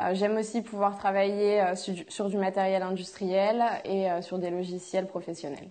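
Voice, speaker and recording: Her voice sits at a medium pitch with a dark, mellow tone, and this woman talks at a moderate pace in a monotone, flat intonation. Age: 20s. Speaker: fashion student. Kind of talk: testimony. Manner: hesitant, many filler sounds.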